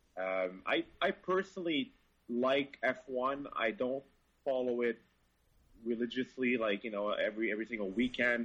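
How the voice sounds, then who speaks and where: A man with a French Canadian accent talks at a moderate pace. His pitch is medium and his intonation lively. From Montreal, Quebec. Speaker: car journalist. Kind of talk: casual chat.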